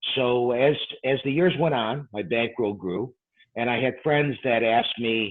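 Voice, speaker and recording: Pitch medium and varying in an ordinary way, a man talks at a moderate pace. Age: 60s. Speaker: professional gambler and dice control teacher. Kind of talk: interview. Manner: hesitant, many fillers.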